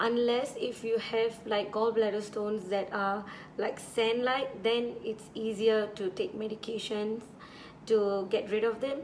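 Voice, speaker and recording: A woman speaks at a fairly slow pace in a flat, monotone intonation, with audible echo from the room. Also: fairly high pitch for a woman. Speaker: beauty vlogger. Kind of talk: casual chat. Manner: relaxed.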